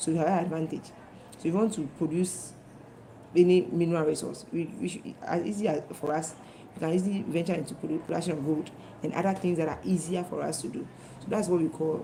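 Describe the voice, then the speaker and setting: At a very fast pace, a woman with a fairly low voice and fairly even intonation speaks in a room with audible echo. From Ghana. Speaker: teacher. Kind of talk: lecture.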